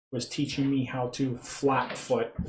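Speaking at a fairly slow pace, a man's voice sits fairly high in pitch. It sounds somewhat breathy, with a dark, mellow tone. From England. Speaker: clog dance instructor. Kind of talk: tutorial.

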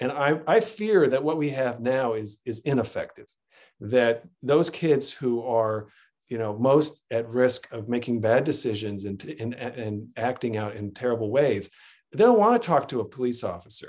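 Against a quiet background, a man talks at a moderate pace and medium pitch with ordinary pitch variation. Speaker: local politician and county executive candidate; local politician, candidate. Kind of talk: candidate forum Q&A. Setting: video call. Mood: earnest, persuasive. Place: home room. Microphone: webcam.

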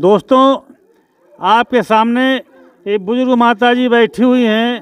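This man's voice is extremely high-pitched with ordinary pitch variation, held at very even loudness in a dry, close sound with no echo. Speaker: local news reporter. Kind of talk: field report and street interview.

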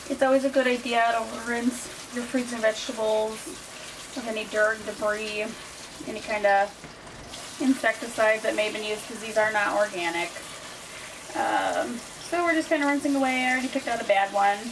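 Against noticeable background noise, a woman speaks at a fairly quick pace with ordinary pitch variation. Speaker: home cook vlogger. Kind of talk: casual vlog chat. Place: kitchen. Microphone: camera far.

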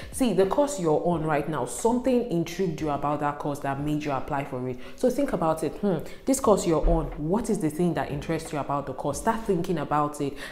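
A woman with a very deep, low voice talks at a fairly quick pace, with hardly any pauses, in an animated tone and lively intonation. Room echo is audible. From northern Nigeria, Kaduna State. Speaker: YouTuber, student advice; YouTuber. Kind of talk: tutorial. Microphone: lapel.

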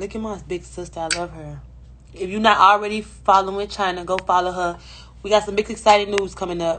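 Against light background noise, a woman speaks at a fairly quick pace with monotone, flat intonation. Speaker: live streamer. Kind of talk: casual live stream chat. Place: home room. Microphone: phone near.

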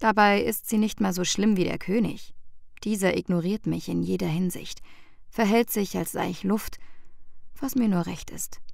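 A woman at a moderate pace. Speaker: audiobook narrator. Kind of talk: first-person fantasy novel reading.

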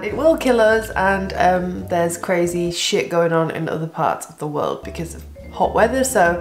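A woman speaking at a fairly slow pace, with clear music playing in the background. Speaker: vlogger. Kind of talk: casual vlog chat. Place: kitchen. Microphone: phone near.

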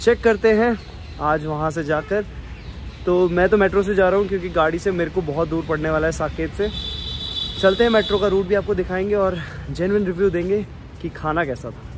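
Noticeable background noise sits behind a man speaking in a high pitch. His pace is moderate, with ordinary pitch variation. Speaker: food vlogger. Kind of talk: casual vlog chat. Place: street. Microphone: phone near.

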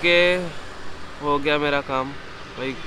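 A man talks at a moderate pace in a fairly high pitch. Background noise is clearly heard.

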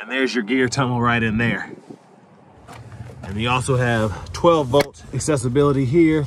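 Recorded with a dry sound and no echo, a man speaks at a moderate pace with ordinary pitch variation over light background noise. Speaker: car reviewer. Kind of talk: casual walkaround commentary. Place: street. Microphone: phone near.

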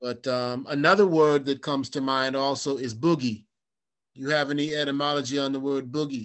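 In a normal speaking voice, the talker moves at a fairly quick pace with fairly even intonation. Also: man, fairly high pitch for a man. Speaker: blues musician and interview host. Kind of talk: interview.

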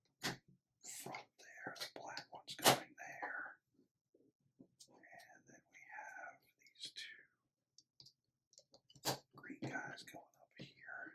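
Whispering at a very slow pace, a man leaves long, frequent pauses while his loudness swings widely. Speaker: Lego builder. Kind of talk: ASMR build narration. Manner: whispered. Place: home room.

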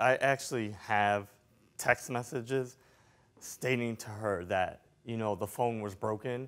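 A man talks at a slow pace in a fairly low pitch. His intonation stays fairly even.

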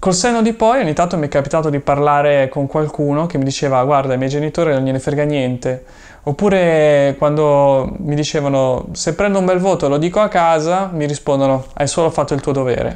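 Over a quiet background, a man with a fairly high pitch talks at a fairly quick pace with ordinary pitch variation. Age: 30s. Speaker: YouTuber and online seller; YouTuber, online seller. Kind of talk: personal vlog monologue. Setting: room full of inventory boxes. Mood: thoughtful, personal. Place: home room.

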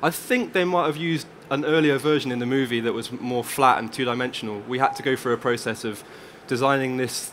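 A man speaks at a fairly quick pace with ordinary pitch variation over light background noise. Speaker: presenter. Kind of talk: conference talk. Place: stage. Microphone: headset.

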